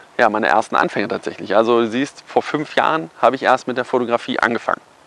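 A man at a medium pitch and a fairly quick pace, with noticeable background noise. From Germany, Kassel area (northern Hesse). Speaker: photographer and marketing YouTuber. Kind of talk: casual personal story vlog. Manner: casual, filler-heavy.

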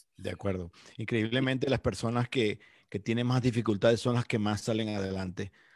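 A man talks at a fairly quick pace with medium pitch. The sound is dry and close, with no echo. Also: fairly even intonation. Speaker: podcast host. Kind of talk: casual chat. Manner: halting, repeats words.

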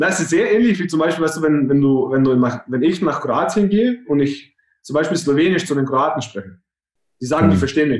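Delivered in an ordinary speaking voice, the speech runs at a fairly quick pace and carries lively intonation. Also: man. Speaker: business professional. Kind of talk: casual chat.

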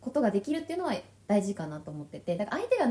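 Over noticeable background noise, the pitch of a woman's voice swings very widely. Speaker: podcast co-host. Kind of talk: casual chat.

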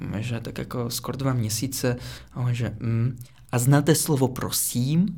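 A man with a slight Russian accent speaks at a fairly slow pace in a medium pitch, his somewhat breathy voice having a dark, mellow tone and ordinary pitch variation. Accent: barely noticeable Russian. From Russia, Moscow. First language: Russian (speaking Czech). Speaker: podcast guest, former international student. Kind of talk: casual chat.

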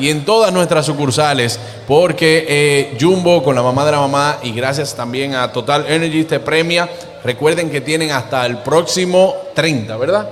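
Over noticeable background noise, a man with an animated tone and fairly high pitch talks at a fairly slow pace with ordinary pitch variation. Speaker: TV and radio show host. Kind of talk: live broadcast giveaway with phone calls.

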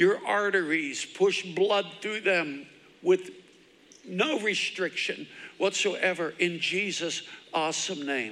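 There is noticeable background noise behind this man. He speaks at a very slow pace with ordinary pitch variation. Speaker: pastor. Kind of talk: sermon. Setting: church with congregation, livestreamed. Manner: fervent, repetitive.

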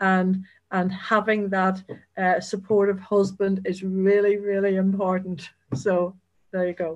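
Speaking with a Northern Irish accent, a woman delivers her words at a fairly slow pace in a monotone, flat intonation. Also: medium pitch for a woman, quiet background. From Northern Ireland, County Down. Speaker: agency chief executive. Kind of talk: interview.

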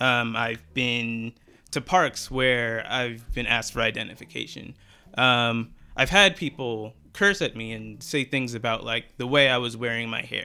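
With music in the background, a man with an American accent talks at a fairly slow pace, using a medium pitch and ordinary pitch variation. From United States. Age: 20s. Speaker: student researcher. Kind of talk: interview. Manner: hesitant with frequent um.

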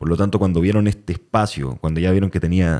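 Dry and close with no echo, the recording captures a man with a very deep, low pitch. His tone is dark and mellow, and his intonation is lively. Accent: Chilean. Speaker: podcast host and actor. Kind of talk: casual chat.

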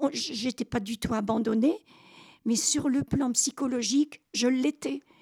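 A woman's high voice with a dark, mellow tone and ordinary pitch variation, with a very clean recording, a silent background and a dry, close sound with no echo. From Normandy, Caen. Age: 80s+. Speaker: WWII childhood survivor. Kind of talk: testimony. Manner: halting.

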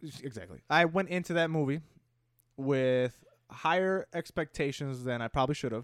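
A man in a normal speaking voice talks at a moderate pace with a fairly high pitch and ordinary pitch variation, in a dry, close sound with no echo and a very clean recording with a silent background. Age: 20s. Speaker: video game podcast co-host. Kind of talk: casual chat.

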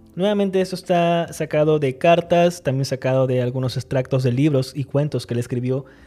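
Music plays in the background as the voice moves at a fairly quick pace with hardly any pauses. The pitch variation is ordinary. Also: man, fairly high pitch for a man. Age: 30s. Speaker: writing podcast host. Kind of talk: solo podcast monologue on writing craft.

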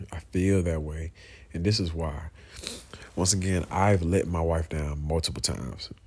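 A somewhat breathy man with a very deep, low voice at a moderate pace. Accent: American. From US South, Georgia (Clayton County, south Atlanta). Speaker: podcast host. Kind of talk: casual monologue. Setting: at home, in bed, late at night.

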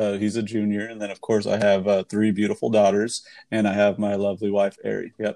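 Delivered at a fairly quick pace, a man's fairly low voice carries an American accent and monotone, flat intonation. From Arizona. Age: 30s. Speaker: solar industry salesperson. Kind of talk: podcast interview.

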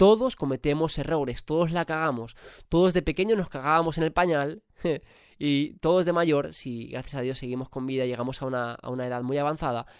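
A man talks at a fairly quick pace with a clear, smooth tone. The recording is very clean, with a silent background. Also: fairly high pitch for a man, ordinary pitch variation.

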